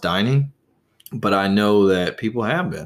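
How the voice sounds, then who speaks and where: A man with a plain, everyday voice and an American accent talks at a moderate pace with a fairly low pitch. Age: 20s. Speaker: podcast host. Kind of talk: solo podcast monologue. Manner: casual.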